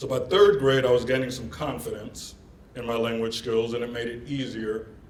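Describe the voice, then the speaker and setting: There are big swings in loudness as a man speaks through noticeable background noise and audible room echo. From Germany (Bavaria, Oberpfalz), American military family. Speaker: keynote speaker, international recruiter. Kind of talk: keynote presentation.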